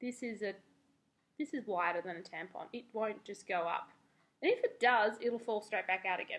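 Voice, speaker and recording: With an Australian accent, a woman speaks at a fairly high pitch. Her pitch variation is ordinary. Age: 20s. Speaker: beauty and lifestyle vlogger. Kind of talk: casual vlog review. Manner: animated.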